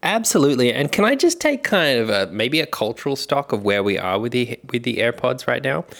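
Talking fairly quickly in an Australian accent, a man at medium pitch uses lively intonation over noticeable background noise. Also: hardly any pauses. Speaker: podcast host. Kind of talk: casual chat.

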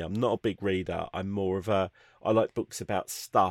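A man with a British accent at a fairly quick pace, in a dry, close sound with no echo. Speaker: podcast host. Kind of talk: casual chat. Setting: video call.

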